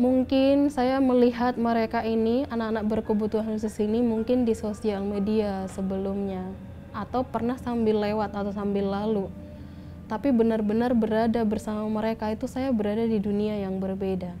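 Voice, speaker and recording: She has a dark, mellow tone and a fairly high pitch for a woman. Her intonation is monotone and flat, and her pace is moderate. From Batak, North Sumatra, Indonesia. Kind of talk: personal testimony interview.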